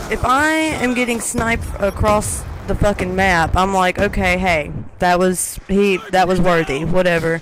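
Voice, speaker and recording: Against noticeable background noise, a woman speaks at a medium pitch and a fairly slow pace with lively intonation. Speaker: gaming commentator. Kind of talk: gameplay commentary rant. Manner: halting, stuttering.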